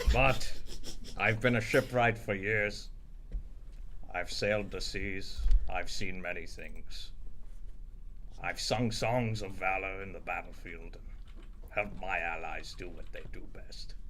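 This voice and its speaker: In a put-on character voice, a man speaks at a fairly slow pace with long, frequent pauses over clear background noise. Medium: actual play.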